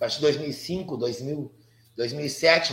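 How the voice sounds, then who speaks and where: A man talks with lively intonation in a fairly high voice. Audible room echo is present. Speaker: Afro-Brazilian religious priest, astrologer and psychologist. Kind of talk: interview conversation. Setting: live video stream.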